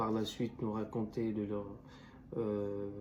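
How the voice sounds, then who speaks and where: Very slow, fairly low-pitched speech from a man, with audible room echo. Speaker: student youtuber. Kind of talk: video essay commentary. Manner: halting, many fillers and restarts.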